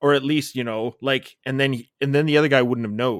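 In a very clean recording with a silent background, a man speaks in a normal speaking voice, fairly high in pitch, with ordinary pitch variation. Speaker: podcast co-host. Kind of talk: casual banter, movie discussion.

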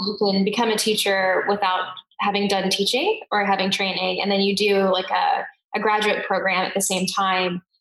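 There is audible room echo around a woman's voice. She speaks at a medium pitch and a moderate pace. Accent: American. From US. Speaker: education research company CEO, former teacher. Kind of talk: interview conversation.

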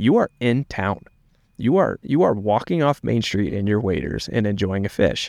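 Over a quiet background, a man with a normal speaking voice talks at a moderate pace, his fairly low pitch carried by lively intonation. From East Tennessee, US South. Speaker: content producer. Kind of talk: casual chat. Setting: studio.

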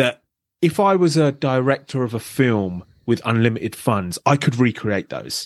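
A man with a British accent talks at a fairly slow pace in a medium pitch, his intonation lively, recorded dry and close with no echo against a quiet background. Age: 30s. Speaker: abuse survivor and advocate. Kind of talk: interview.

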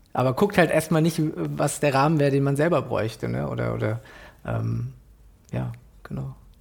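Long pauses come often in speech that otherwise keeps a moderate pace. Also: man. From Germany, Frankfurt am Main. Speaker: illustrator and graphic designer. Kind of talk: casual interview conversation.

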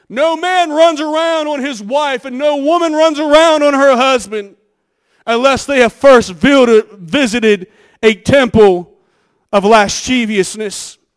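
The pace is fairly slow. The tone is animated, with lively intonation. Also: man, extremely high pitch for a man. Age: 40s. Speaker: pastor. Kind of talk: sermon.

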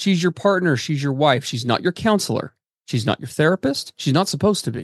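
A man talks at a fairly quick pace in an ordinary speaking voice, pitched fairly high with lively intonation. The sound is dry and close, with no echo. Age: 40s. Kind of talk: casual chat.

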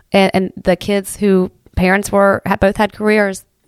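A woman speaks at a medium pitch. The sound is dry and close with no echo, and the recording is very clean over a silent background. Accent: Appalachian. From Southern Ohio, Appalachia. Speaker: community volunteer and former teacher. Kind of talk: casual interview. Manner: halting, many fillers and repeats.

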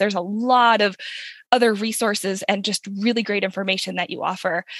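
The tone is bright, sharp and animated, with ordinary pitch variation at a fairly quick pace. The sound is dry and close, with no echo. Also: woman. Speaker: podcast host. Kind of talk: casual interview chat.

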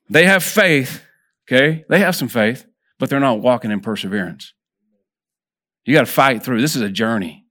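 A man's medium-pitched voice with a Texan accent, bright and sharp in tone, at a moderate pace with very wide pitch swings and long, frequent pauses, on a very clean recording with a silent background. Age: 50s. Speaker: lay preacher. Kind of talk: sermon. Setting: church.

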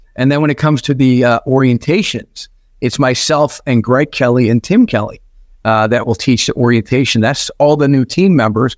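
A man with an ordinary speaking voice talks at medium pitch and a moderate pace, with ordinary pitch variation and very even loudness. The sound is dry and close with no echo, over a quiet background. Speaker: business executive and author. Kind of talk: interview.

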